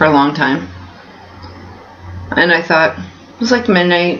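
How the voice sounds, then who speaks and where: With noticeable background noise and audible room echo, a woman speaks at a moderate pace in a fairly low pitch. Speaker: vlogger. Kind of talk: casual vlog. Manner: hesitant, many fillers.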